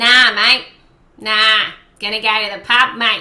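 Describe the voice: Doing a put-on character voice in an Australian accent, a woman speaks at a fairly high pitch and a fairly slow pace with monotone, flat intonation.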